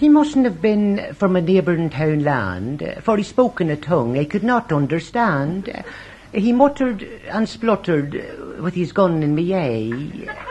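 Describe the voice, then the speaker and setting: A man's high voice with a Northern Irish accent, very slow, with very wide pitch swings and noticeable background noise. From Northern Ireland. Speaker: poet and storyteller. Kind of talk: comic rhyming monologue.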